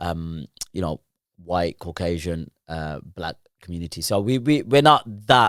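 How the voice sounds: A man with a low pitch and ordinary pitch variation speaks at a fairly slow pace in a fairly bright, clear, smooth tone on a very clean recording with a silent background.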